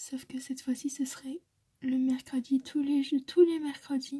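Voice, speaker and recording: A woman speaks at high pitch in a gentle, dark, mellow tone. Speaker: ASMR content creator. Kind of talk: ASMR soft-spoken talk to camera. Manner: soft-spoken, gentle, intimate, repeating words.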